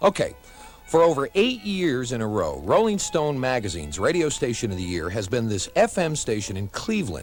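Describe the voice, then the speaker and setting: Over music in the background, a man speaks at a moderate pace and medium pitch with very wide pitch swings. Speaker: radio station general manager. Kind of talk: radio station promo, humorous rant.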